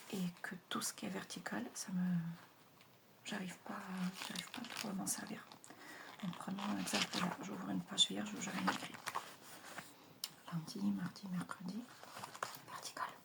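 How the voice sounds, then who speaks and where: Soft-spoken delivery at a fairly slow pace, with long, frequent pauses and noticeable background noise. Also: woman. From Russia. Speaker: ASMR creator. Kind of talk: ASMR page-turning talk.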